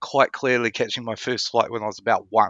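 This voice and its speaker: A man's bright, sharp voice with a New Zealand accent, fairly quick pace, and dry, close sound with no echo. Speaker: podcast guest, traveller. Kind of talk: casual interview chat.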